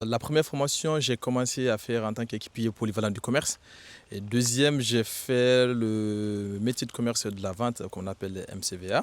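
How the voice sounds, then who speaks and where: Speaking at a moderate pace with a Guinean accent, a man keeps a medium pitch and fairly even intonation. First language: Susu (speaking French). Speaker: retail worker. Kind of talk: street interview. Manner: hesitant, with fillers.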